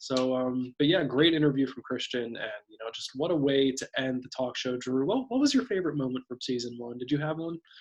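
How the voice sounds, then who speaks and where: With a medium pitch and ordinary pitch variation, a man talks at a fairly quick pace with hardly any pauses and big swings in loudness. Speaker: talk show co-host. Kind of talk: casual chat. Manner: fast.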